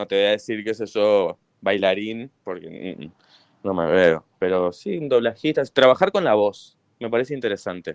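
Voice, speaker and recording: Moderate pace and ordinary pitch variation from a man, a normal speaking voice, fairly low-pitched. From northern Argentina. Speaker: writer. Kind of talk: interview.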